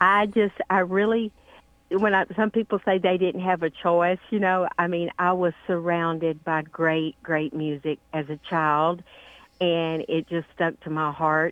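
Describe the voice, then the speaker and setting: A woman with a Southern US accent speaks at a fairly slow pace, her fairly low voice holding fairly even intonation. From Louisiana. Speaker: country singer. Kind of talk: interview.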